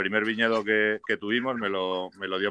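A man's voice, fairly low in pitch. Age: 50s. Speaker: winemaker. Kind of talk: casual interview.

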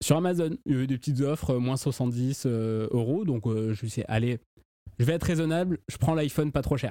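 In a southern French accent, a man with a dark, mellow, medium-pitched voice talks at a moderate pace with ordinary pitch variation. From southern France. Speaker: podcast host. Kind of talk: casual chat.

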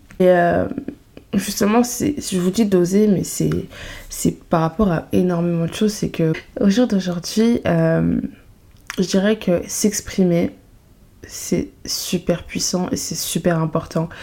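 At a very slow pace, a woman speaks in a medium pitch with a dark, mellow tone, ordinary pitch variation, and long, frequent pauses. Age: 20s. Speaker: podcast host. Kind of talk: casual chat. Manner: animated.

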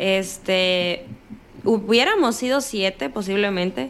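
A woman's medium-pitched voice with a northern Mexican accent. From Sinaloa, northern Mexico. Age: 20s. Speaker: cancer survivor. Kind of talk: interview testimony. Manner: direct, forceful.

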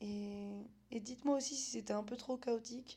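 A woman speaks slowly in a high pitch with a dark, mellow tone. Her intonation stays monotone and flat. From France, Vosges (Épinal). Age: 20s. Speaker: podcast host. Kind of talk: solo monologue podcast.

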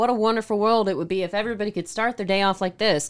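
The speaker has an animated tone on a very clean recording with a silent background. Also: woman. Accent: Southern US. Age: 30s. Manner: animated, jokey.

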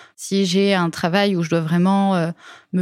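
A woman's medium-pitched voice at a very slow pace, monotone and flat, dry and close with no echo, on a very clean recording with a silent background. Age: 20s. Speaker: UX designer. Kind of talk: interview. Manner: hesitant with fillers.

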